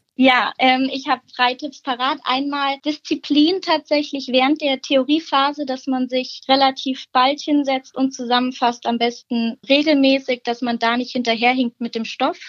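A woman's high, monotone, flat voice at a fairly slow pace with hardly any pauses, in a dry, close sound with no echo. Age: young. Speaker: dual-study business student. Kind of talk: interview.

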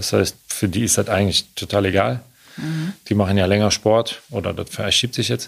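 A man speaks at a moderate pace with a fairly low pitch, lively intonation and vocal fry. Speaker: Olympic canoe athlete. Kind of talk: interview.

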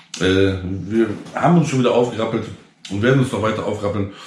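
A man talks very fast in a fairly low voice with fairly even intonation. Audible room echo and noticeable background noise surround him. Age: 30s. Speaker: entrepreneur and online content creator. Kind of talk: casual direct-to-camera vlog monologue. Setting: self-recorded GoPro video. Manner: tired, low-energy delivery; many filler sounds (ähm, äh).

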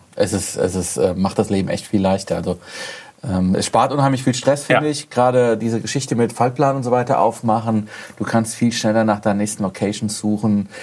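Through noticeable background noise, a man talks at a fairly quick pace and a medium pitch, with ordinary pitch variation. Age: 40s. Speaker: car blogger. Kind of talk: casual chat.

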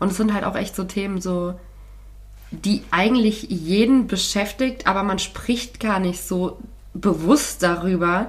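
A woman's medium-pitched voice with vocal fry, at a fairly slow pace, in a room with audible echo. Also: ordinary pitch variation. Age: 20s. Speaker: podcast co-host, radio presenter. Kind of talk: casual chat.

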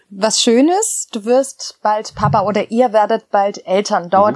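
A woman talks fairly slowly at a fairly high pitch with hardly any pauses, in an unremarkable speaking voice. Her pitch varies in an ordinary way, and the sound is dry and close with no echo. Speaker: podcast host. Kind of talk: casual interview. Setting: garden office.

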